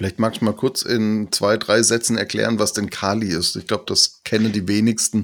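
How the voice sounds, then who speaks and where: A man with a fairly low voice talks at a moderate pace in a flat monotone, hardly pausing, on a very clean recording with a silent background. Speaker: podcast host. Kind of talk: interview.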